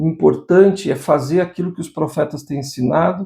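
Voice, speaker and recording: The voice has a dark, mellow tone with vocal fry and moves at a moderate pace. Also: man. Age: 60s. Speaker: religious teacher. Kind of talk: devotional scripture lesson. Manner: informal, conversational.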